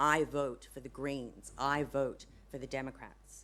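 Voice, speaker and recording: With an American accent, a woman speaks fairly slowly in a very deep, low pitch marked by vocal fry. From United States. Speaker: public ethicist, conference speaker. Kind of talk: conference presentation. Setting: conference stage with audience.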